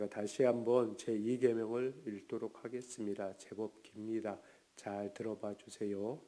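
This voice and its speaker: The voice has a dark, mellow tone and a monotone, flat intonation. The pace is fairly slow. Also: man, medium pitch for a man. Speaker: pastor. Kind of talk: lecture.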